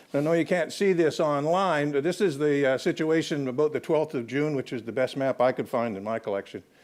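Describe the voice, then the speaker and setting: A man's fairly high-pitched, ordinary speaking voice with a Canadian accent, ordinary pitch variation and a fairly quick pace. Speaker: historian. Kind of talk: lecture.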